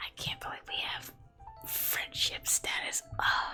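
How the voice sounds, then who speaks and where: Someone whispers with music in the background. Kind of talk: ASMR gameplay commentary. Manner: whispered.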